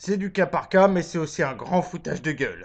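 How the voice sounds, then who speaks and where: A man with a high voice talks at a moderate pace against a quiet background. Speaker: vlogger. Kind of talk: comedic monologue. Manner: lying down.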